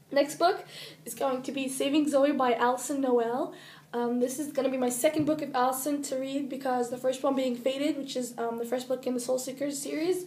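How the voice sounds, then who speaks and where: A woman talks at a fairly quick pace with high pitch and fairly even intonation. Audible room echo surrounds her voice. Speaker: book vlogger. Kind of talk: casual chat.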